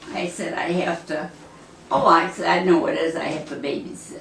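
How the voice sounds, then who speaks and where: Noticeable background noise sits behind a woman who talks at a moderate pace. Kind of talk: interview answer. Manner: snarky.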